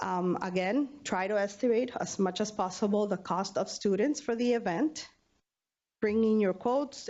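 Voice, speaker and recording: A woman with a normal speaking voice and a fairly high pitch speaks at a moderate pace, her pitch varying in an ordinary way. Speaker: university student affairs budget staff. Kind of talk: training presentation.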